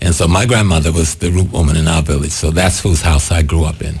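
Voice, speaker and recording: With an American accent, a man talks at a fairly quick pace. His pitch is very deep and low, with ordinary variation. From US South, South Carolina Gullah/Geechee area. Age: 70s. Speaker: spiritual leader and activist. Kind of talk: interview.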